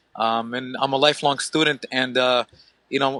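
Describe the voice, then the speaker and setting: A man with a medium-pitched voice and a bright, sharp tone, recorded dry and close with no echo. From Ukraine. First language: Russian. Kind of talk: podcast interview. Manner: hesitant, many fillers and restarts.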